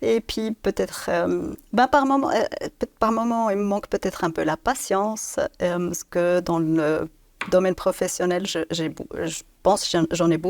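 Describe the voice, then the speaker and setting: A slight Swiss German accent at a fairly slow pace, with lively intonation and a dry, close sound with no echo. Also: woman, medium pitch for a woman. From Switzerland, Biel/Bienne (German-speaking). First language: Swiss German (speaking French). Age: 50s. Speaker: business director. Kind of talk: interview. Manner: halting.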